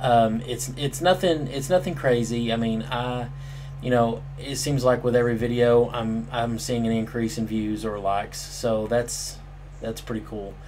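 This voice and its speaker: A man speaks at a moderate pace and medium pitch, with audible room echo and noticeable background noise. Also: ordinary pitch variation. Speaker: gaming commentator. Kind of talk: casual vlog talk. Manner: halting, many fillers.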